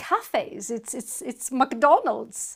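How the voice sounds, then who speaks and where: A woman speaks with a Greek accent. Her pace is very slow. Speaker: university lecturer. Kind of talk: lecture.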